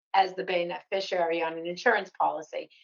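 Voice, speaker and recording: A woman talks at a moderate pace with a slight Boston accent. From Massachusetts, north of Boston. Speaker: financial planning educator. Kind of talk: podcast interview. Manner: conversational.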